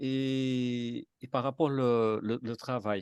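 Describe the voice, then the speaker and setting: A man in a Martinican accent, recorded with a dry, close sound with no echo against a quiet background. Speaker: participant in a spiritist study group. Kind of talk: group discussion. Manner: halting, many repetitions and hesitations.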